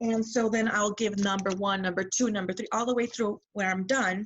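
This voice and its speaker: A woman speaks at a medium pitch with fairly even intonation. She has a normal speaking voice. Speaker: direct sales seller. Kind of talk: casual chat.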